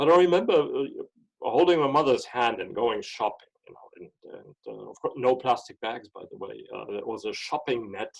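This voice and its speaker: A man speaks at a moderate pace. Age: 60s. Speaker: scientist. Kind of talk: personal storytelling interview. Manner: halting with repetitions.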